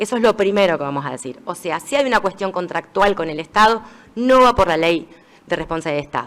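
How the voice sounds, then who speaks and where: Talking at a very fast pace, a woman uses lively intonation at a medium pitch. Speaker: judge and law speaker. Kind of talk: lecture.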